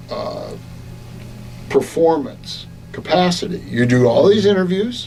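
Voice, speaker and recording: A man at a fairly slow pace, with noticeable background noise and audible room echo. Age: 60s. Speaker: radio broadcaster and coach. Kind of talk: interview. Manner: hesitant, many fillers.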